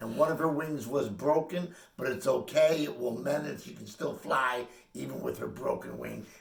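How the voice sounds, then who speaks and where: A man's moderately paced speech swings widely in loudness, with audible room echo and noticeable background noise. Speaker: spiritual healer. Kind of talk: casual chat.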